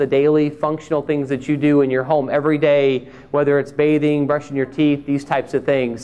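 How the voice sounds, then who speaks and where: A man with a Southern US accent speaks at a fairly quick pace. His fairly high voice has a dark, mellow tone. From Mississippi. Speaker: speech pathologist. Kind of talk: conference talk. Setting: stage with audience. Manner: conversational.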